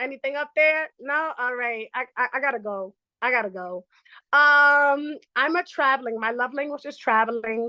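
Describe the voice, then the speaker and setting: A woman's raised, projected voice, high in pitch with a bright, sharp tone, at a moderate pace with ordinary pitch variation, in a dry, close sound with no echo and a quiet background. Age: 20s. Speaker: traveling bartender. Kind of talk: casual chat.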